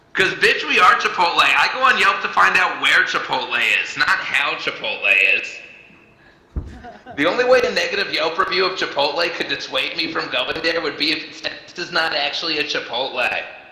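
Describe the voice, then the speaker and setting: Delivered at a fairly quick pace, the speech carries audible room echo and noticeable background noise. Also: man. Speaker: stand-up comedian and show host. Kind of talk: stand-up. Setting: virtual reality comedy show with online audience.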